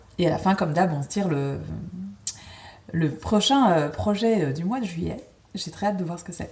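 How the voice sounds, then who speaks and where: Against noticeable background noise and audible room echo, a woman with a fairly low pitch speaks at a moderate pace with lively intonation and long, frequent pauses. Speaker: cross-stitch video host. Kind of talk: casual chat. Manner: hesitant, many fillers.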